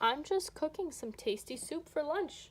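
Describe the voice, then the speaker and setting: High-pitched female voice in a put-on character voice. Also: moderate pace. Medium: read story. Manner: chatty, fussy.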